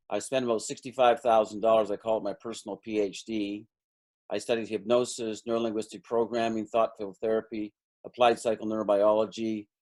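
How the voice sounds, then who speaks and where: A man in a Canadian accent, medium-pitched and fairly quick, on a very clean recording with a silent background. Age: 60s. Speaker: energy healing practitioner and stockbroker coach. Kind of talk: interview.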